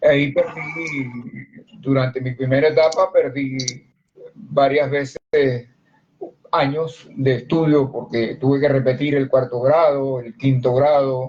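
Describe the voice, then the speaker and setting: Here a man talks at a very slow pace with long, frequent pauses. His pitch is fairly high, and his intonation fairly even. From Venezuela, Caracas. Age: 70s. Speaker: political activist and former trader. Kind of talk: interview. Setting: live stream.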